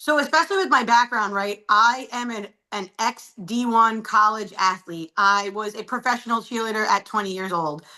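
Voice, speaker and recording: A woman with an American accent at a moderate pace, fairly high in pitch, bright and sharp in tone, with ordinary pitch variation and hardly any pauses. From New York City, Staten Island. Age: 30s. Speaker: client. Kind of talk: testimony.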